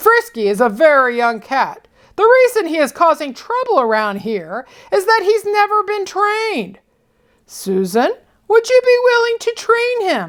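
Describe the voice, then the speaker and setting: In a put-on character voice, a woman speaks at a moderate pace with an extremely high pitch, a stern tone and very wide pitch swings. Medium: read story. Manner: grumbling, slightly stern.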